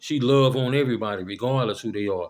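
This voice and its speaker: A man at a medium pitch. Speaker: vlogger. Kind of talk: casual monologue. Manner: monotone, cheerful.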